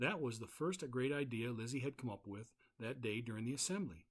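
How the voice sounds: Natural reading voice, nothing more.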